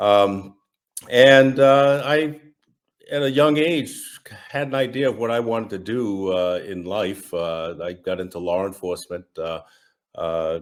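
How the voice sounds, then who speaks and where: Pausing long and often, a man talks at a fairly slow pace in a fairly low pitch, his intonation lively. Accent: Massachusetts. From US Northeast, Massachusetts. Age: 60s. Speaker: retired federal agent, estranged father. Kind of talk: interview testimony. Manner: halting, many fillers.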